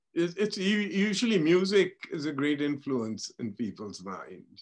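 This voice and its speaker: A man with a Punjabi accent, lively intonation and a fairly slow pace. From India. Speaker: tech industry pioneer. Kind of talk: interview. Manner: halting, many repetitions.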